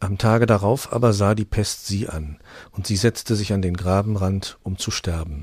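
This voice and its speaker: With a somewhat breathy, fairly low-pitched voice, a man speaks in fairly even intonation. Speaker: audiobook narrator. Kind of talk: dramatic fairy-tale narration, reading aloud. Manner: solemn, hushed and tender, slowing into a sad, gentle tone for the plague scene; storytelling, directly addressing listeners.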